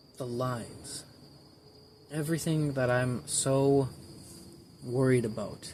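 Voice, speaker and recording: Amid noticeable background noise, a man speaks at a very slow pace with long, frequent pauses, at a medium pitch with ordinary pitch variation. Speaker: amateur artist vlogger. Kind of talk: casual vlog monologue. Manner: halting, rambling with repeats.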